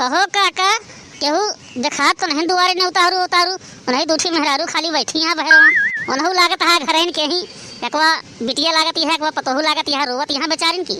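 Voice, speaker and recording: A woman puts on a cartoonish character voice at an extremely high pitch with ordinary pitch variation. She keeps a moderate pace over clear background noise. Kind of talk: cartoon comic acting.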